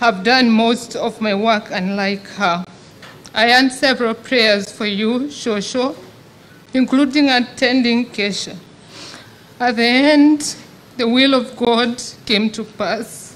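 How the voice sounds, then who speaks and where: Long, frequent pauses break up a woman's very slow speech. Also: fairly even intonation. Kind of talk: eulogy read aloud. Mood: sad, solemn. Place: tent. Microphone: podium.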